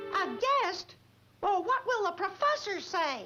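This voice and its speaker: Squeaky and cartoonish, this character voice moves at a fairly slow pace with faint music in the background. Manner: lively, exclamatory.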